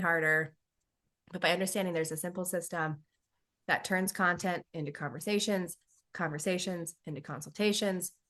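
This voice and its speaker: The voice has a bright, sharp tone and ordinary pitch variation, set against a quiet background. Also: woman. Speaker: business coach and myofunctional therapist. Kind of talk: webinar training. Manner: fast.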